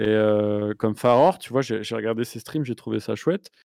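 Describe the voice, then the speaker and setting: In a normal speaking voice, a man talks at a moderate pace with ordinary pitch variation, in a dry, close sound with no echo and a very clean recording with a silent background. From southern France. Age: 40s. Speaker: YouTuber. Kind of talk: casual chat.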